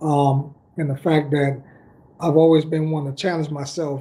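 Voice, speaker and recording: Speaking at a moderate pace, a man with a fairly high pitch keeps his intonation monotone and flat. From Dominican Republic. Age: 40s. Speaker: football coach. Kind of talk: casual chat.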